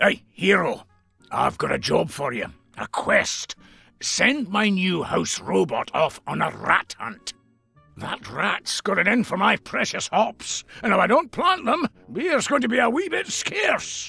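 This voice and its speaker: A man puts on a character voice at a high pitch. Faint music plays in the background. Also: fairly slow pace. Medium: machinima. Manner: teasing, chuckling.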